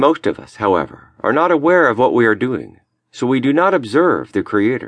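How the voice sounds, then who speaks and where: Here a man speaks at medium pitch with vocal fry and a solemn tone. His intonation is lively and his pace moderate. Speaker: audiobook narrator. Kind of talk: audiobook narration of a lecture, read aloud. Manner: measured, solemn, earnest.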